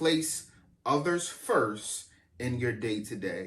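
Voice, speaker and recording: At a very slow pace, a man talks at a medium pitch with ordinary pitch variation and audible room echo. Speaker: pastor. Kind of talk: sermon. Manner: halting, repeats words.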